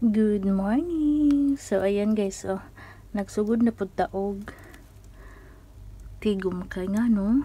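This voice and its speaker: Taking long, frequent pauses at a very slow pace, a woman speaks in a somewhat breathy, dark, mellow tone with fairly high pitch and ordinary pitch variation. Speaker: domestic helper vlogger. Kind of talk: casual vlog. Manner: soft-spoken, quiet.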